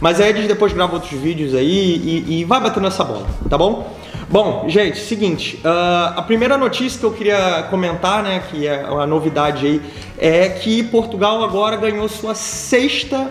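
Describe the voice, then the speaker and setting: With music in the background and audible room echo, a man speaks at a moderate pace. His pitch is high, with ordinary variation. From Brazil, Rio de Janeiro. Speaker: business manager of an innovation hub, video host. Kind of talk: casual video commentary / news review. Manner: hesitant, many fillers and restarts.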